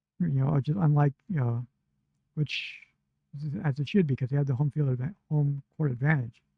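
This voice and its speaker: A man speaks at a fairly quick pace in a fairly high, somewhat breathy voice, with ordinary pitch variation, very even loudness, and long, frequent pauses. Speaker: wrestling podcast host. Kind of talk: casual podcast talk.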